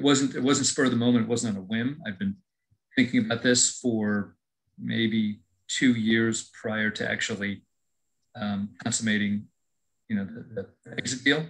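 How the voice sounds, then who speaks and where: A man's medium-pitched voice, with ordinary pitch variation and long, frequent pauses. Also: fairly slow pace. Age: 60s. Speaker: former franchise owner. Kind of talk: webinar Q&A. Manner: halting.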